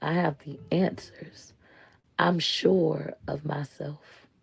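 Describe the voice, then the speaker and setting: In a put-on character voice, a woman speaks at a very slow pace with a raspy, very deep, low pitch. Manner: confident, self-assured.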